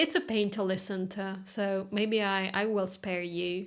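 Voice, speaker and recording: Speaking at a very slow pace, a woman has a slight non-native accent. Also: very clean recording, silent background. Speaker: classical guitarist streamer. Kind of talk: casual live-stream chat. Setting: live stream. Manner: halting.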